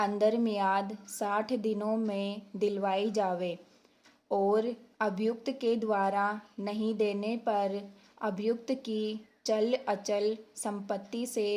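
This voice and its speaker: A woman speaks at a fairly high pitch with monotone, flat intonation. The recording is very clean with a silent background. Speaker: steno dictation teacher. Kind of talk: legal dictation reading for stenography practice. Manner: slow, measured, dictation pace.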